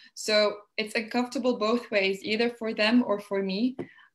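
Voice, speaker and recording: Her pitch is fairly high and her intonation monotone and flat. This woman keeps to a moderate pace. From Tunisia. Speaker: panelist with migration experience; panelist. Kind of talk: panel discussion. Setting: video call. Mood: thoughtful, engaged. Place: home room. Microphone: webcam.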